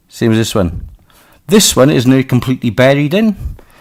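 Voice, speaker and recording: The speaker has a Welsh accent. The delivery comes at a moderate pace. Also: man. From Wales. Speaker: crossbow maker and reviewer. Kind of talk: casual product test talk to camera.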